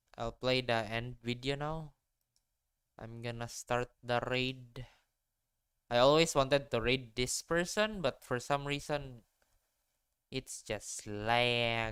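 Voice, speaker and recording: The speaker talks in a Filipino accent at a very slow pace. Long pauses come often. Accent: sounds familiar (Filipino). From Philippines. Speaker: vtuber streamer. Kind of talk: casual live stream chat.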